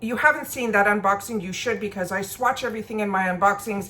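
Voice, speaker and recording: This voice belongs to a woman. Her pitch sits in the medium range and varies in an ordinary way. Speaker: beauty and makeup vlogger. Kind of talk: casual get-ready-with-me product review. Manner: fast.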